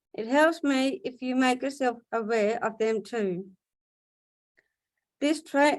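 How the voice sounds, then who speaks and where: A woman talks in a high pitch with ordinary pitch variation. Her pace is fairly slow. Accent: Australian. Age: 40s. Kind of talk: prepared speech. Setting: video webinar.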